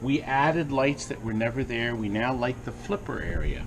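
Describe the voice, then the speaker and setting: Noticeable background noise runs under the recording. A man speaks at a moderate pace with a medium pitch. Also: ordinary pitch variation. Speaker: arcade business owner, TV infomercial personality.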